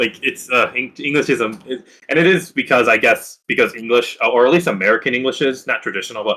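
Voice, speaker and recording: A man talks at a very fast pace. He has a Spanish accent. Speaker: blender student. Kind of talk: casual chat. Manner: halting.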